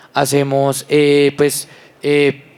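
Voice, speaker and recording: A man with a fairly high pitch speaks with a Bogotá accent. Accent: Bogotá rolo. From Colombia, Bogotá. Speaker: environmental entrepreneur. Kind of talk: panel discussion.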